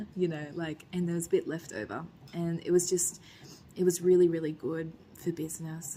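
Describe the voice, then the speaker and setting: A soft-spoken, somewhat breathy woman's voice with a dark, mellow tone, fairly low pitch, fairly even intonation and a fairly quick pace. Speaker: vlogger and restaurant owner. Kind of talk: casual vlog talk to camera.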